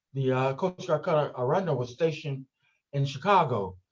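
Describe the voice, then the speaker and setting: A man with a fairly high, somewhat breathy voice speaks fairly quickly, his pitch varying in an ordinary way. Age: 70s. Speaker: retired educator and museum director. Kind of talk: interview. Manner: halting, many fillers.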